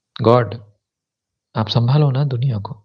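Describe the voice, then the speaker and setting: A man's medium-pitched voice comes out somewhat breathy. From South India. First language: a South Indian language (speaking Hindi). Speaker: YouTuber, spiritual commentator. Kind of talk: live stream chat. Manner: casual, mixes English words into Hindi.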